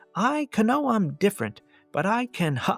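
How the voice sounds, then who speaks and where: With faint music in the background, a man uses a put-on character voice, high-pitched and fairly slow. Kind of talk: earnest, polite, formal. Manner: awkward, over-enunciating silent letters at word starts.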